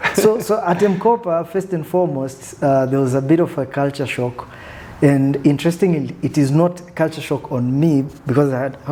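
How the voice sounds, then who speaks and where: A man talks with ordinary pitch variation and a fairly high pitch. Noticeable background noise sits behind him. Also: moderate pace. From Tanzania (Arusha). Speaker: business executive. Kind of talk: interview.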